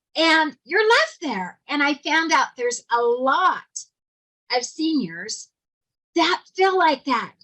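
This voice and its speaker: Her tone is bright and sharp, a woman speaking at a high pitch. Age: 60s. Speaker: motivational speaker. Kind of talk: prepared speech.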